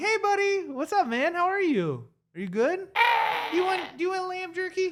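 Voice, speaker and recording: The speaker performs a put-on character voice. It sits at an extremely high pitch and keeps a moderate pace. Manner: warm, affectionate, high and friendly.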